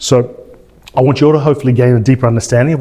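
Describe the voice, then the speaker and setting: A man with an Australian accent speaks at a very fast pace with ordinary pitch variation. Noticeable background noise sits behind him. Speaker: chiropractor. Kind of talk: event introduction. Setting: stage with audience.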